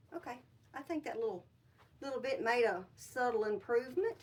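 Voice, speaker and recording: This woman has a Southern US accent and a high pitch. Her intonation is lively. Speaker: upcycling YouTuber. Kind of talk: casual craft tutorial. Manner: casual, chatty.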